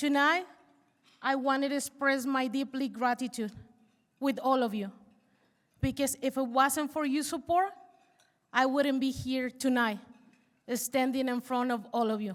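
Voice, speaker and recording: A woman with a Spanish accent speaks at a moderate pace in a high pitch, with fairly even intonation and long, frequent pauses. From Mexico. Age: 40s. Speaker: university student. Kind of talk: speech.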